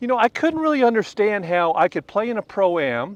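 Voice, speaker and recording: Against a quiet background, a man with an American accent talks fairly quickly at a high pitch in a relaxed tone, the sound dry and close with no echo. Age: 60s. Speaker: retired tour golf professional. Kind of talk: golf instruction demonstration in casual interview. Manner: conversational, relaxed.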